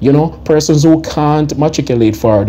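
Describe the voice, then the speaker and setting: Speaking at a fairly quick pace with a Jamaican accent, a man uses lively intonation against noticeable background noise. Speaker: commentary vlogger. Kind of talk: opinion commentary. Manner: animated.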